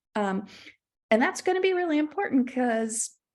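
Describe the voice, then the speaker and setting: The recording is very clean, with a silent background. A woman speaks with lively intonation. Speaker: library director. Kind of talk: conference presentation.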